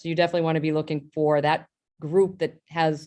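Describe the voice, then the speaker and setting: This woman talks at a very fast pace with an American accent and a fairly low pitch. The background is quiet. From Boston. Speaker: health company executive. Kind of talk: panel discussion.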